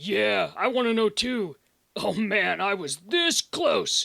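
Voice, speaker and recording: Using a put-on character voice, a man speaks in a raspy, raised, projected voice with a high pitch at a fairly slow pace. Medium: fan dub. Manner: casual, chummy.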